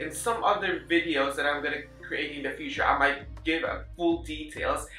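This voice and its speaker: A man with a Filipino accent talks at a moderate pace. Audible room echo and noticeable background noise fill the recording. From Philippines. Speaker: registered nurse, vlogger. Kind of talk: personal vlog. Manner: halting.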